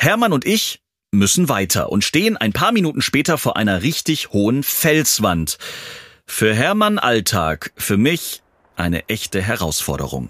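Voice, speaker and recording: Vocal fry runs through a man's medium-pitched voice with very wide pitch swings. He keeps very even loudness at a fairly slow pace. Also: dry, close sound with no echo, very clean recording, silent background. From southern Germany. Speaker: podcast host. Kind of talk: scripted narration; casual interview.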